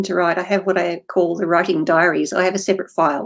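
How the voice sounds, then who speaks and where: Very rapid delivery marks this speech. It comes with an Australian accent. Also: woman. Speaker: fantasy author. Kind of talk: interview.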